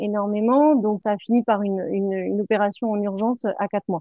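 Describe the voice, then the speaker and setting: A woman talks at a medium pitch and a moderate pace. Her intonation stays fairly even. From Picardy, northern France. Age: 40s. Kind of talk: interview testimony. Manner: hesitant, many fillers.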